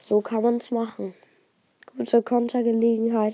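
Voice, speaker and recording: A fairly high-pitched woman's voice sounds dry and close, with no echo. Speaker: gaming YouTuber. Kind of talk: gameplay commentary. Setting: lying in bed at home. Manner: animated.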